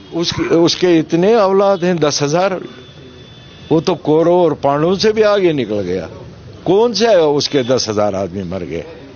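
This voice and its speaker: A man speaks with a high pitch and very wide pitch swings. Noticeable background noise sits behind him. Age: 70s. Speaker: politician. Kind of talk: interview.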